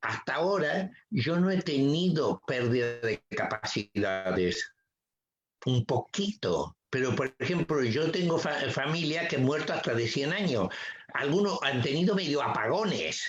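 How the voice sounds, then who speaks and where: A man talks fairly slowly. His pitch swings very widely. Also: fairly high pitch for a man, very even loudness. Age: 70s. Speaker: psychotherapist. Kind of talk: interview. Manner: halting.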